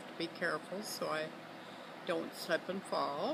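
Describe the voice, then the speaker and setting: Over noticeable background noise, a woman with an American accent speaks in a fairly low pitch. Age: 90s. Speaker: grandmother interviewed for family record. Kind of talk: casual family interview. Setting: outdoors on a lakeside deck. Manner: halting, with frequent fillers.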